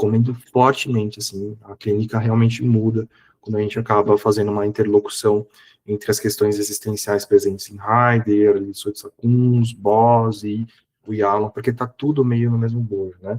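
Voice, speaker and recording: A man's fairly low, monotone voice at a moderate pace, with flat intonation, big swings in loudness and a dry, close sound without echo. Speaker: psychologist and professor giving a seminar. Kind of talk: online lecture. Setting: online seminar. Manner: casual, conversational.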